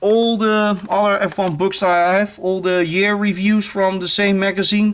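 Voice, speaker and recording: The speaker talks at a fairly slow pace in a Dutch accent. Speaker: YouTuber, F1 collector. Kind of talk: show-and-tell video. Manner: halting, many fillers.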